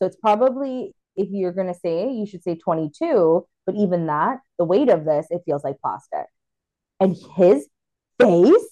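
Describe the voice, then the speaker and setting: A woman speaks at a medium pitch in a dark, mellow tone, her voice swinging very widely in pitch. She talks at a fairly slow pace, the sound dry and close with no echo. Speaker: podcast host. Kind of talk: casual chat. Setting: video call. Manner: animated.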